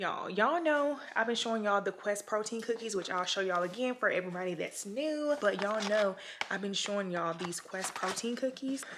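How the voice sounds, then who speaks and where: The delivery is fairly quick, with lively intonation. Noticeable background noise runs underneath. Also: woman, medium pitch for a woman. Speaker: lifestyle vlogger. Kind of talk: casual vlog.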